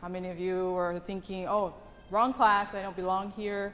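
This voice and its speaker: A woman talks at a medium pitch. Audible room echo is present. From Tonga. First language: Tongan. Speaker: English language teacher. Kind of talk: conference presentation.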